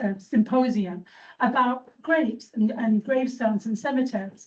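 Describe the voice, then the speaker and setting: Somewhat breathy and fairly high in pitch, a woman with an English accent talks at a moderate pace with ordinary pitch variation. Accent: English accent, still noticeable. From England. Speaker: church trustee and cemetery volunteer. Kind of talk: informal presentation to a meeting. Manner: conversational, hesitant with fillers.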